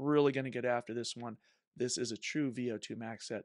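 Man at a moderate pace with ordinary pitch variation, dry sound with no echo and a quiet background. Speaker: swim coach. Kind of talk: workout explanation podcast. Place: home room. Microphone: studio mic.

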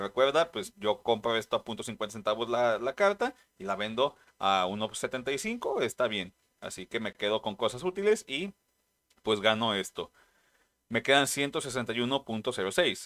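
A man speaks in a Mexican accent at a very slow pace. His intonation is lively, and the background is quiet. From Mexico. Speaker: trading card game youtuber. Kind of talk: casual vlog narration. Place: home room.

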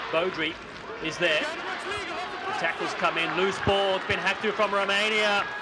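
Against noticeable background noise, a man speaks at a high pitch with an animated tone and ordinary pitch variation. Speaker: commentator. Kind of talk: live sports commentary. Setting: stadium commentary over match footage. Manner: animated, excitable, fast-paced play-by-play.

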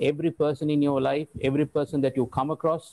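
A man's dark, mellow voice at a fairly high pitch and moderate pace, in a dry, close sound with no echo. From Kandy, Sri Lanka. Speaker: realtor and panelist. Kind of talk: book presentation in panel discussion. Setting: video call.

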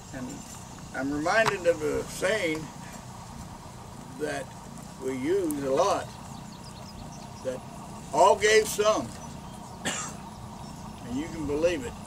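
With long, frequent pauses and a slow pace, a man speaks at fairly high pitch in a fairly bright tone with lively intonation over faint background noise.

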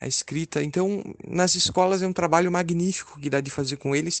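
A man with a normal speaking voice, moderate pace and fairly even intonation, dry, close sound with no echo, quiet background. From southern Brazil, Caxias do Sul (Rio Grande do Sul). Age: 20s. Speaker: author and journalism student. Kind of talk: interview.

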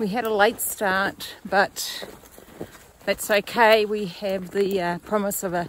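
A woman speaks with ordinary pitch variation over light background noise, and the sound is dry with no echo. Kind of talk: casual vlog chat. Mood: cheerful, content. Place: open country. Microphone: phone near.

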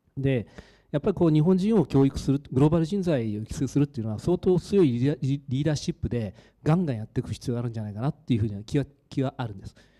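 This man speaks very fast in a fairly high pitch with a dark, mellow tone. The recording is very clean and the background silent. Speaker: audience member asking a question. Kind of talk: audience question. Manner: halting.

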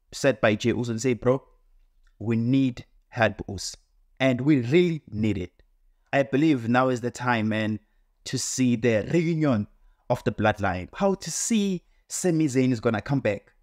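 A man at a fairly slow pace, with long, frequent pauses, ordinary pitch variation and a quiet background. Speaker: wrestling commentator vlogger. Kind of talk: casual commentary. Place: home room.

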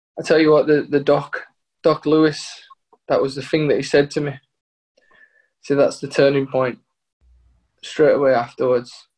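A man's fairly high voice, monotone and flat, at a moderate pace with long, frequent pauses and a quiet background. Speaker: footballer. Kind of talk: casual chat. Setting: video call. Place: home room. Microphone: video call.

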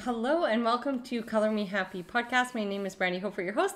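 A woman speaks with a Canadian accent. Her intonation is lively. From Canada. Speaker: podcast host and artist. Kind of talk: casual chat. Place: home room. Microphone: studio mic.

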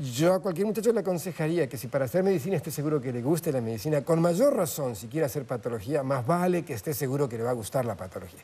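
The voice is dark, mellow and somewhat breathy, with lively intonation. It runs at a very fast pace with hardly any pauses. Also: man, fairly high pitch for a man. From Andean South America (Peru, Bolivia, Ecuador), Argentine parents. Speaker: pathologist and medical professor; guest. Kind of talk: interview. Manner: many filler hesitations (eh). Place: studio. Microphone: lapel.

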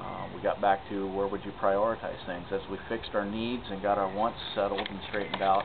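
Noticeable background noise sits behind a man speaking at a fairly quick pace. His pitch is fairly low and his intonation monotone and flat. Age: 40s. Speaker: city council candidate; council candidate. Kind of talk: interview answers. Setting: outdoors in a city park.

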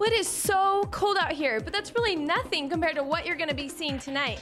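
An upbeat, energetic woman with an American accent and lively intonation, music in the background. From Arizona, United States. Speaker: weathercaster. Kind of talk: TV weather forecast presentation.

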